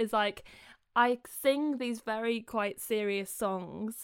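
A woman with a British accent, fairly high pitch, ordinary pitch variation and a fairly slow pace. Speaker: singer-songwriter and busker. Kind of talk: casual interview chat. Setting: remote call.

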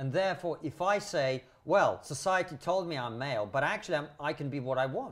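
Somewhat breathy, this voice goes along at a fairly quick pace. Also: man. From Soviet Union. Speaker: comedian and podcaster. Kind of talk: casual discussion.

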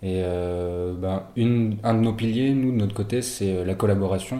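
Audible room echo surrounds a man speaking with a fairly low pitch and fairly even intonation. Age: 21. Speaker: student entrepreneur. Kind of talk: interview. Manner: halting.

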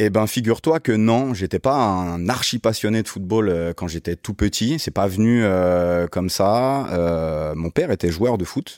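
Fairly slow, lively intonation with hardly any pauses, in a dry, close sound with no echo on a very clean recording with a silent background. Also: man, fairly low pitch for a man. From Paris region, Yvelines (Guyancourt). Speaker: sports management consultant and youth football coach. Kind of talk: interview. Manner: casual, hesitant with many fillers.

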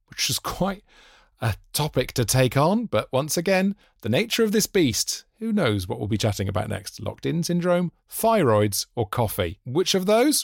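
The sound is dry and close with no echo as a man speaks with an English accent. His pitch swings very widely, and his pace is fairly slow. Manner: animated.

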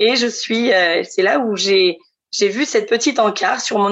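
A woman with a fairly high pitch uses a normal speaking voice, speaking fairly slowly with lively intonation. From central France (Centre region). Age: 30s. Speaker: future expatriate. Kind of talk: testimony.

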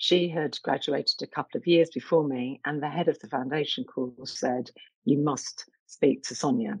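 A woman speaks in a London accent. Her pace is moderate. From East London, England. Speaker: arts director and curator. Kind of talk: interview.

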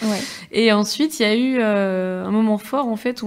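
This is a woman with a normal speaking voice. She talks at a medium pitch and a moderate pace. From Niort, France. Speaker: student activist. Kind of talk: casual chat.

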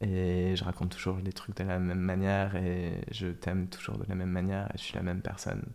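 Speaking at a fairly quick pace, a man delivers his words in a very deep, low pitch with monotone, flat intonation. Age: 20s. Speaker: social media content creator. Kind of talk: casual interview chat.

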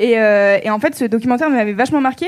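A woman's fairly high voice with a slight southern French accent, ordinary pitch variation and a very fast pace. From southern France. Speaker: podcast host. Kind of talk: live podcast recording with audience. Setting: stage with audience.

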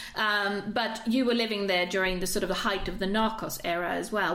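A woman speaks at a moderate pace with a medium pitch, and there is noticeable background noise. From Sweden. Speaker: podcast host. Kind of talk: interview.

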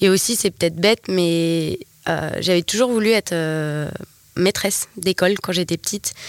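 An unremarkable speaking voice from a woman, fairly low in pitch, with ordinary pitch variation, a moderate pace and a dry, close sound with no echo. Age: 20s. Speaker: entrepreneur, wellness center manager. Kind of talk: casual interview.

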